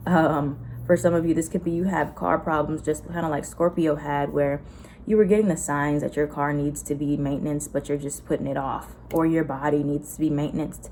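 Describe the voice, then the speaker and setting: A woman with an American accent speaks at a fairly quick pace in a very deep, low voice with vocal fry and a dark, mellow tone. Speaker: tarot reader. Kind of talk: tarot reading to camera. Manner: animated.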